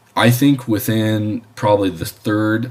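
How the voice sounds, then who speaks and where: Over noticeable background noise, a man speaks at a fairly low pitch. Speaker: aviation instructor. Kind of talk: lecture. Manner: halting.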